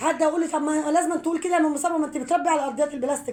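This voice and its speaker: High female voice over clearly audible background noise. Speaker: home poultry vlogger. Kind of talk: casual vlog talk.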